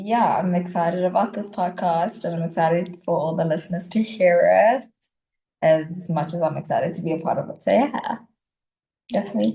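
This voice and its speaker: A woman speaks at a moderate pace in a somewhat breathy, dark, mellow tone. Her pitch sits fairly low, with ordinary variation. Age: 20s. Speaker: podcast co-host. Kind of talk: podcast introduction.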